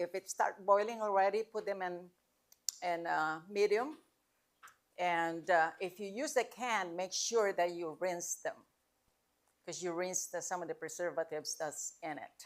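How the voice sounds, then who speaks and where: Pausing long and often, a woman with a medium-pitched voice speaks at a fairly slow pace with ordinary pitch variation. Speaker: cooking class instructor. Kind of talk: cooking demonstration Q&A. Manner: loud.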